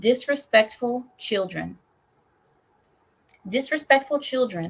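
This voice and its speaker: A woman with a non-native accent speaks at a fairly slow pace, her fairly high voice carrying lively intonation. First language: not English. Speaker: livestream host. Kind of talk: casual live chat with viewers. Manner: careful enunciation.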